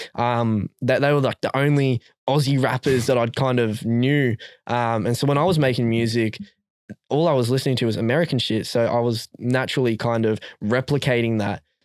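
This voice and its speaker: A man with an Australian accent talks at a fairly quick pace and medium pitch, with fairly even intonation and very even loudness. The sound is dry and close with no echo. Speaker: rapper. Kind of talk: casual chat. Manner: halting.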